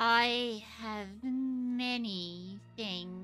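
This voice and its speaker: In a put-on character voice, a female-sounding speaker talks at a fairly high pitch for a woman, with clear background noise behind her. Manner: curt, suspicious.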